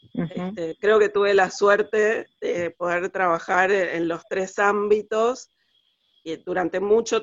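Speaking very slowly, a woman keeps her intonation fairly even. Her pitch is medium. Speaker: costume designer. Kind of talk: interview. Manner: halting, many fillers.

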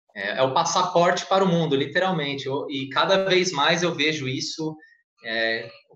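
A man with a fairly high voice and ordinary pitch variation speaks amid audible room echo. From Brazil, São Paulo state (Santa Isabel). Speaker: flight attendant and former English teacher. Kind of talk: casual interview on a livestream.

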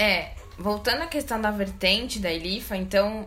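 With noticeable background noise and audible room echo, a woman talks at a fairly slow pace and a medium pitch. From São Paulo, Zona Sul. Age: 30s. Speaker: cultural entrepreneur, co-founder. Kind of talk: casual chat.

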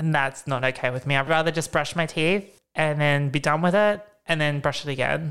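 Keeping her loudness very even, a woman speaks at a moderate pace in a very deep, low pitch with ordinary pitch variation. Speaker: podcast co-host. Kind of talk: casual chat.

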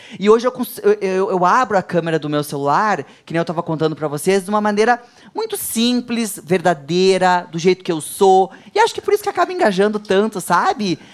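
With an unremarkable speaking voice, a woman talks at a fairly quick pace, her medium pitch showing ordinary variation. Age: 40s. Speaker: entrepreneur and pharmacist. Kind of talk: interview.

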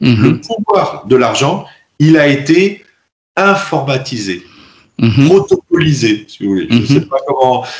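A man with a fairly high pitch speaks at a fairly slow pace, leaving long, frequent pauses. His voice is somewhat breathy and makes very wide pitch swings. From France. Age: 30s. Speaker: engineer and Bitcoin advocate. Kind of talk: interview. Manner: hesitant, many fillers.

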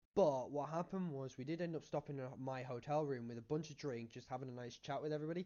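Speaking at a very fast pace with hardly any pauses, a man with a Cumbrian accent keeps a fairly high pitch and fairly even intonation. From Cumbria, northern England. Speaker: podcast co-host. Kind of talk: casual chat.

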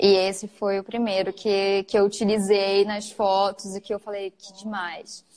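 Monotone, flat intonation with hardly any pauses and big swings in loudness. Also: woman, medium pitch for a woman, fairly slow pace. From Macapá, northern Brazil. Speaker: photographer and online shop owner. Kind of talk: casual interview. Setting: live stream.

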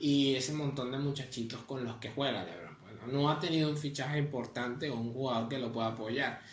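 A man with a medium-pitched voice talks at a fairly quick pace and with fairly even intonation, over noticeable background noise and audible room echo. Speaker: podcast co-host. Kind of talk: casual chat.

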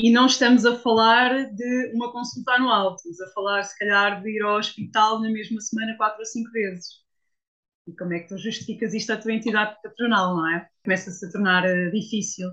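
A woman's fairly high-pitched voice, bright and sharp in tone, with big swings in loudness. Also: ordinary pitch variation, fairly quick pace. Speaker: copywriter. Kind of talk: interview testimony.

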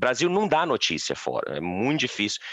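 A man talks at a fairly slow pace. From Minas Gerais, Brazil. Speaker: forestry engineer, Brazilian immigrant. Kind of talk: casual interview chat.

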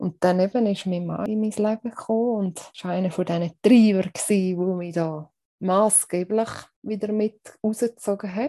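A woman's medium-pitched voice with a dark, mellow tone, ordinary pitch variation and a fairly slow pace, in a dry, close sound with no echo. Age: 30s. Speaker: secondary school teacher. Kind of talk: interview, personal story of burnout. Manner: hesitant, with many fillers.

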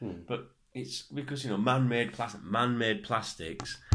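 A man is speaking. He has a British accent. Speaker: podcast co-host. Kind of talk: casual chat. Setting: home studio, drinking wine.

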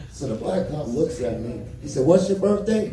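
Over noticeable background noise and audible room echo, a man with a New York accent sounds animated, his pitch swinging very widely. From New York, the Bronx. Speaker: comedian. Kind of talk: stand-up. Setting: stage with audience.

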